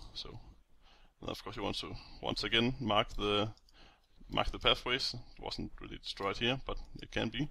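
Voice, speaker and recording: Long pauses break up the speech frequently. Otherwise it runs at a moderate pace. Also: man. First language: not English. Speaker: game map-making tutorial maker. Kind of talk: screen-recorded tutorial. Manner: casual, hesitant with many fillers.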